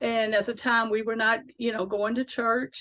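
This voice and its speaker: A woman is talking. Her voice sits fairly high. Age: 60s. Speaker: faith author. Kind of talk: interview. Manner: halting.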